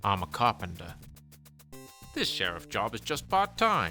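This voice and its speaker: With music playing behind him, a man uses a put-on character voice that is strained and very deep in pitch, speaking at a moderate pace. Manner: fake, strained accent.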